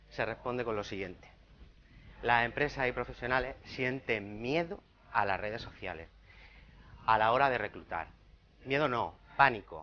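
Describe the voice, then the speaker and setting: The speaker, with a Murcian accent, moves at a moderate pace with ordinary pitch variation and long, frequent pauses. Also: man, medium pitch for a man. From Spain, Murcia. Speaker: recruitment consultant. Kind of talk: conference talk.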